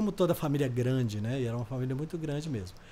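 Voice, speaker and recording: A man is the speaker. His voice has a dark, mellow tone. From Brazil, rural Minas Gerais. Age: 70s. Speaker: interview guest. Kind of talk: podcast interview, life story. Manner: halting, repetitive.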